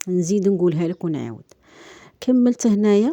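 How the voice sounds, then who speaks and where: Behind this woman, the background stays quiet. Her dark, mellow tone comes at a moderate pace. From Algeria. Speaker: vlogger. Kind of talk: casual vlog chat. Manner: halting.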